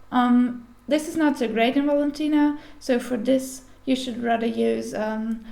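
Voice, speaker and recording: A woman with a non-native accent has a high voice of dark, mellow tone and ordinary pitch variation. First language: not English. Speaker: sewing pattern tutorial maker. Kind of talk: tutorial. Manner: careful, deliberate pace; hesitant, with fillers.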